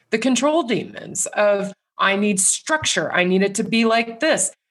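At a fairly slow pace, a woman uses an ordinary speaking voice at medium pitch, her intonation lively. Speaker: assistant professor of counselor education.

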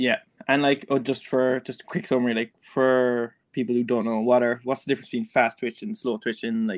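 In a Cork accent, a man with a medium pitch speaks at a moderate pace with fairly even intonation, the sound dry and close with no echo against a quiet background. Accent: Irish (Cork). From Ireland (Cork). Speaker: neuroscientist, Gaelic footballer and podcast co-host. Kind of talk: casual chat.

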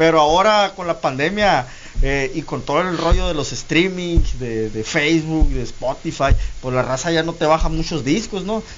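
Moderate pace, ordinary pitch variation, and noticeable background noise. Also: man, fairly high pitch for a man. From Guaymas, Sonora, Mexico. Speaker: internet radio founder. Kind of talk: interview. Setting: radio studio.

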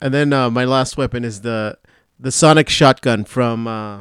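Here is a man with an unremarkable speaking voice. He keeps a moderate pace and ordinary pitch variation. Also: very clean recording, silent background. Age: 40s. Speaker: podcast co-host. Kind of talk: casual chat.

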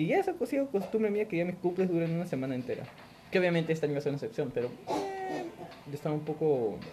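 A man with a high voice for a man races along at a very fast pace, his pitch swinging very widely over noticeable background noise. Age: 20s. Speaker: podcast host. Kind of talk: casual chat.

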